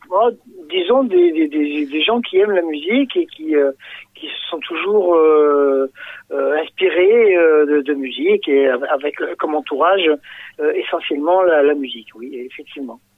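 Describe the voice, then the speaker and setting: A man's fairly high voice with lively intonation. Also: fairly slow pace. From southern France, Fréjus (Var). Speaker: singer. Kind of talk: radio interview. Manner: halting, many hesitations and repetitions.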